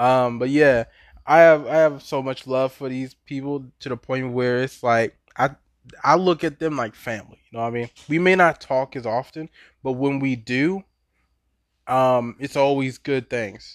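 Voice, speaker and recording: A man with an American accent speaks at a moderate pace in a medium pitch, with fairly even intonation and an unremarkable speaking voice. The recording is very clean with a silent background, and the sound is dry and close with no echo. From Baltimore, Maryland, US. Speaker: podcaster. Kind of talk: casual monologue.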